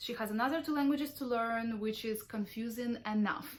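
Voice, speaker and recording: A woman talks with a Ukrainian accent. Her pitch is high, with ordinary variation. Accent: Russian-speaking Ukrainian accent in English. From Ukraine. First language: Russian. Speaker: parenting vlogger. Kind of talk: vlog monologue.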